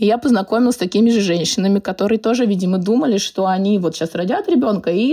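The voice moves at a very fast pace, somewhat breathy and dark and mellow in tone, with lively intonation. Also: woman. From Moscow, Russia. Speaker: personal stylist. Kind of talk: casual interview.

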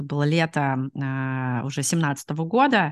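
A woman's voice comes through dry and close, with no echo. The background is quiet. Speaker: product manager, immigrant. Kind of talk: interview. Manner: hesitant, many fillers.

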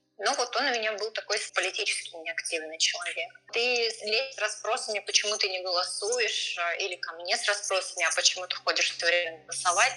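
A woman's pitch varies in an ordinary way as noticeable noise carries on behind her. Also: medium pitch for a woman, fairly quick pace. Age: 40s. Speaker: voter sharing experience. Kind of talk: personal testimony interview.

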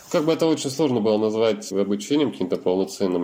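Noticeable background noise surrounds a voice with ordinary pitch variation. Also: man. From Russia, Yekaterinburg. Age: 30s. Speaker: wheelchair user, internet company employee. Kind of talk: interview testimony.

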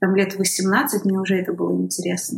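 A woman speaks at a fairly slow pace in a medium pitch. Her voice is somewhat breathy. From northwestern Russia, Kirovsk near St Petersburg. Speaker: documentary film director. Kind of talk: interview conversation.

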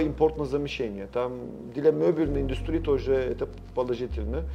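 A man with a Turkish accent at a moderate pace. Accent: Turkish accent in Russian. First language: Turkish (speaking Russian). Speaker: sales and marketing director. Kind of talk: interview. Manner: halting.

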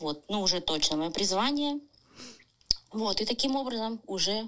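A woman speaks at a very slow pace. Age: 30s. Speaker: tattoo artist. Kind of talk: recorded personal story.

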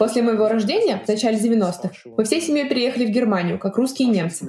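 Lively intonation and a fairly quick pace in a normal speaking voice. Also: woman. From Russia. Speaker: podcast host and volunteer. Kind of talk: solo podcast narration.

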